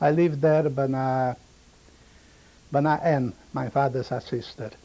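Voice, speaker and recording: The voice has a dark, mellow tone, fairly even intonation and a fairly slow pace. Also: man, fairly high pitch for a man. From Romania (Maramures region). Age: 70s. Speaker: Holocaust survivor. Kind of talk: oral history testimony. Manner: halting, broken English.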